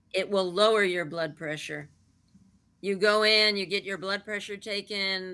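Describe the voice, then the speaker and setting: Fairly even intonation and a bright, sharp tone from a woman at a moderate pace, against a quiet background. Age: 70s. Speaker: laughter yoga teacher. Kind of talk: interview.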